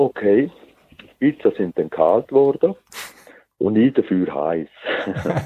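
A man speaks at a very slow pace, with long, frequent pauses and big swings in loudness. The sound is dry and close, with no echo. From Switzerland, Zurich. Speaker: geocacher. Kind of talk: casual interview.

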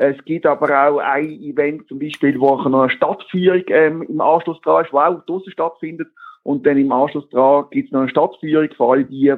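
A man's a normal speaking voice, fairly high in pitch. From Basel region, Switzerland. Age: 40s. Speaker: geocaching event organiser. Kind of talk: interview.

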